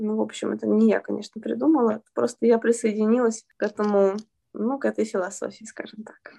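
Big swings in loudness run through a woman's fairly quick speech, heard with a dry, close sound with no echo. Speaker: children's author and translator. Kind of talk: interview.

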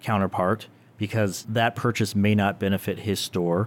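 The recording is very clean, with a silent background. A man with an unremarkable speaking voice talks at a fairly low pitch and a moderate pace. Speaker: creative director and co-host. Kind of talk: casual chat.

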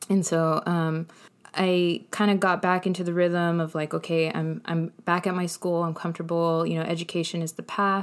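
Speaking at a moderate pace in a monotone, flat intonation, a woman with an American accent has a fairly low pitch, recorded very cleanly with a silent background. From Inland Empire, Southern California. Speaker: podcast guest, musician and educator. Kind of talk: casual interview, telling life story.

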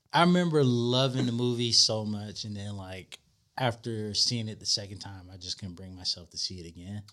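A man with an American accent and an ordinary speaking voice talks at a moderate pace, his pitch fairly low with ordinary variation. His loudness swings widely. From Florida. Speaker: podcast guest, movie fan. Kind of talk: casual chat.

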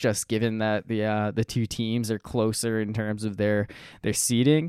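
A man has an ordinary speaking voice with a fairly low pitch. The recording is very clean, with a silent background. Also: dry, close sound with no echo. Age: 20s. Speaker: sports podcast host. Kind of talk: casual chat.

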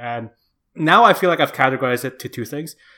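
Over a very clean recording with a silent background, a man with an Indonesian accent speaks in a bright, sharp tone with lively intonation. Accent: Indonesian, international-school English. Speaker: podcast co-host and editor. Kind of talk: casual chat.

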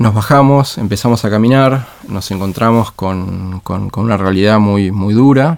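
Hardly pausing, a man speaks at a fairly slow pace in a fairly low voice with ordinary pitch variation. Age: 30s. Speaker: education leader. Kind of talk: interview conversation. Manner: halting, many repeated words.

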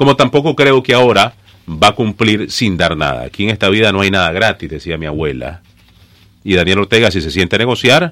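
A man with a Nicaraguan accent talks at a moderate pace in a fairly low pitch. His bright, sharp tone swings very widely in pitch. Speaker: journalist. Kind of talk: political interview. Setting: radio studio.

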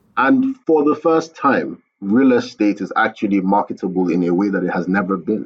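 Speaking at a moderate pace with hardly any pauses, a man with a Nigerian accent has a fairly low voice. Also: lively intonation. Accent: Nigerian (Yoruba) English. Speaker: architect and company founder. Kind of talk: interview.

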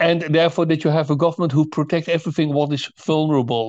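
With a Dutch accent, a man talks at a fairly quick pace and a fairly high pitch, keeping his intonation fairly even. The background is quiet, and the sound is dry and close with no echo. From Netherlands. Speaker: author and think tank founder. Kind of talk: interview. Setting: remote call. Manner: halting, many repetitions.

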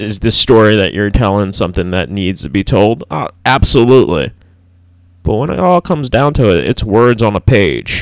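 Mumbling with vocal fry, a man uses lively intonation on a very clean recording with a silent background. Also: fairly low pitch for a man, moderate pace. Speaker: podcast host. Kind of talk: solo monologue. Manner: hesitant, with fillers.

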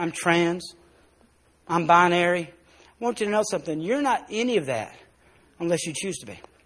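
A Southern US accent at a moderate pace, with lively intonation, big swings in loudness and long, frequent pauses. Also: man, high pitch for a man. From US South, South Arkansas. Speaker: pastor. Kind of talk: sermon. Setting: church.

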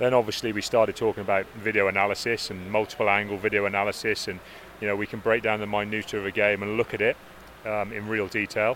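Over noticeable background noise, a man with a fairly low pitch talks at a very fast pace with monotone, flat intonation. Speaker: rugby coach. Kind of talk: interview.

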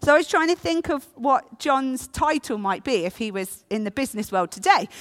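Spoken with an English accent at a moderate pace, the voice has a bright, sharp tone and very wide pitch swings, captured in a very clean recording with a silent background and a dry, close sound with no echo. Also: woman. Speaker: preacher. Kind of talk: sermon.

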